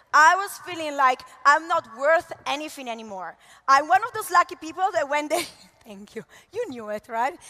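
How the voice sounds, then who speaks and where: A woman speaks in a raised, projected voice with an Italian accent, her high pitch swinging very widely and her loudness rising and falling sharply. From Italy. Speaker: network marketing leader. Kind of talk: motivational talk. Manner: animated, uses hands.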